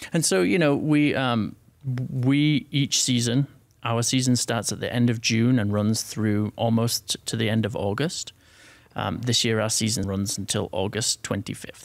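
In a very clean recording with a silent background, a man with an American accent speaks at a fairly slow pace, with medium pitch and ordinary pitch variation. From northern England. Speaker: theater festival director. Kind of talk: casual interview. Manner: hesitant, many fillers.

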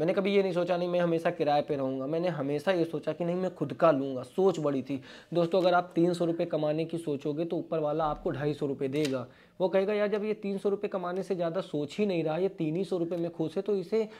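A man talks at a moderate pace with hardly any pauses. His high voice has a dark, mellow tone and fairly even intonation. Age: 20s. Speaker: vlogger, interior panel businessman. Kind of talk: motivational talk to camera. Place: office. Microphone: lapel.

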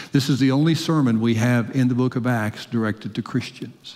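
The speaker, a man, keeps a moderate pace. Ordinary pitch variation runs through his speech. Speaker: preacher. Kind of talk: sermon. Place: church. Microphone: headset.

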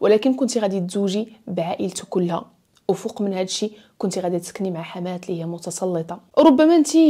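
A woman with a Moroccan accent speaks at a fairly quick pace and a medium pitch. Her tone is dark and mellow, and the background is quiet. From Morocco. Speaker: storytelling YouTuber. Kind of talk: storytelling narration; advice monologue. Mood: earnest, emotional story. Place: home room. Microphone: lapel.

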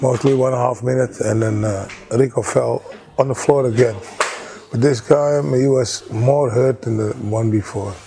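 Noticeable background noise is present throughout. Against it, a man speaks with fairly even intonation. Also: moderate pace. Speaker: fight trainer. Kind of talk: interview answer. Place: shop. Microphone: lapel.

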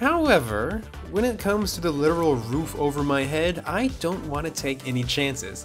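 A man is speaking. Music is clearly audible in the background. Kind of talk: tutorial. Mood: playful, dry humor. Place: garage. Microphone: lapel.

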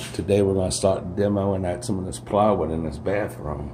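A man with a very deep, low pitch is heard over noticeable background noise. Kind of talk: casual vlog walkthrough. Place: home room. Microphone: phone near.

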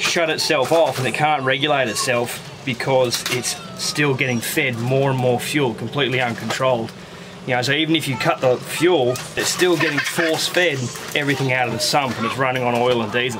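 Noticeable background noise runs under a voice moving at a fairly quick pace with fairly even intonation. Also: man. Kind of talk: casual vlog explanation. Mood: calm, slightly weary. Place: boat. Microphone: phone near.

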